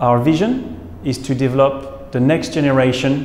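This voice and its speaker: Someone speaks fairly slowly with a French accent, with audible room echo and light background noise. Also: man. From France, Lyon; France. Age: 40s. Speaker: biotech company founder and scientist. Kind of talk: promotional presentation. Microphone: lapel.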